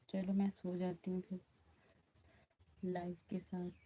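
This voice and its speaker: A woman with a medium pitch speaks in a flat, monotone way, her tone dark and mellow and somewhat breathy. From Uttar Pradesh, India (Ayodhya). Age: 20s. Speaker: bhajan singer and live streamer. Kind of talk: casual live stream chat with viewers. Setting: live stream. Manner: repetitive, pleading.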